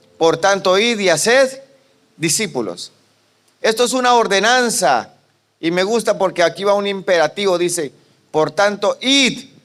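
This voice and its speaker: This man has a high-pitched, animated voice, and his loudness stays very even. He goes at a fairly slow pace, with long, frequent pauses. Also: ordinary pitch variation. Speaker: pastor. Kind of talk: sermon.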